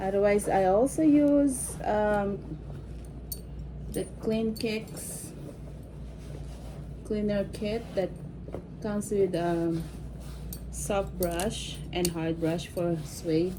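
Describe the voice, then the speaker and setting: At a very slow pace, a woman with a Filipino accent speaks with long, frequent pauses. Her medium pitch shows ordinary pitch variation, and there is noticeable background noise. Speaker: vintage bag restorer. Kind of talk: casual talk to camera.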